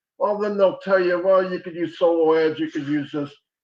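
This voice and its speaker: A man's high-pitched voice at a moderate pace. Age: 60s. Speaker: online marketer. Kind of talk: webinar presentation.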